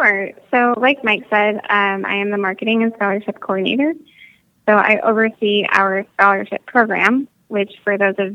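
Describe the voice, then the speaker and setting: Speaking fairly slowly, a woman uses a plain, everyday voice at medium pitch with fairly even intonation. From Michigan. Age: 20s. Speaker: Air Force veteran, nonprofit coordinator. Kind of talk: casual interview.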